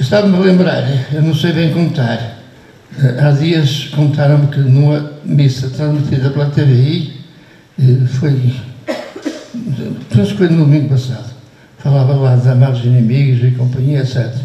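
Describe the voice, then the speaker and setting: A man speaks at a fairly high pitch with very even loudness and long, frequent pauses. Room echo is audible, along with noticeable background noise. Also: fairly even intonation, moderate pace. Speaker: priest being honoured. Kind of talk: farewell speech. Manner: halting.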